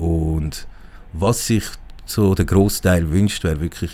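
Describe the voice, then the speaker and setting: A Zurich accent amid noticeable background noise. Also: man. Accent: Swiss German (Zurich). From Zurich, Switzerland. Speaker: guest with Iranian family background. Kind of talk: casual interview. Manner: halting, many fillers.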